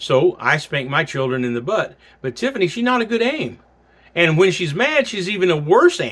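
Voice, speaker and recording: Loud, high-pitched male speech in a Southern US accent, with very wide pitch swings at a moderate pace, on a very clean recording with a silent background. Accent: Southern American. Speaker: pastor teaching a class. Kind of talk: recorded sermon-style class. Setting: pre-recorded video for class.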